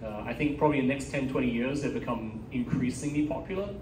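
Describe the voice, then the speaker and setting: The man speaks with an American accent, with audible room echo and noticeable background noise. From Taiwan, schooled in England from 13. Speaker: speaker answering audience questions. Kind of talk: Q&A after a talk. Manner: halting, many fillers.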